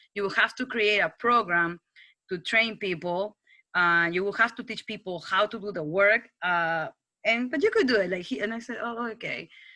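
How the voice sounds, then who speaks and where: A woman with a strong non-native accent speaks at a moderate pace and medium pitch in a bright, sharp tone with ordinary pitch variation. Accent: foreign accent, strong. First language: Spanish. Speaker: TV news producer. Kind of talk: casual talk to students. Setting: video call. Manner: halting, with many restarts.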